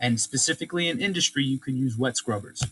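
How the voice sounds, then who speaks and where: A man's fairly high voice with very wide pitch swings. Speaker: science teacher. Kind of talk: lecture. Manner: fast.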